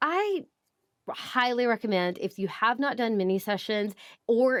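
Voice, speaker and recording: A woman speaks with a Southern US accent in a very clean recording over a silent background. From US South. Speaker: photographer and business educator. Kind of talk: podcast interview. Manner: fast.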